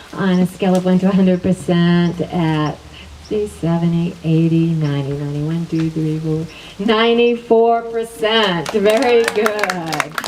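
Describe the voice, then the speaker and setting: Heard over noticeable background noise, the voice moves at a fairly slow pace with ordinary pitch variation. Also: woman, fairly low pitch for a woman. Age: 60s. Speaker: wellness teacher. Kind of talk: energy healing demonstration.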